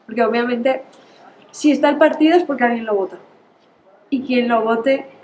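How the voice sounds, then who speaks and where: The voice moves at a fairly quick pace with ordinary pitch variation. Noticeable background noise runs underneath. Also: woman, high pitch for a woman. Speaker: student. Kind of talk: group discussion.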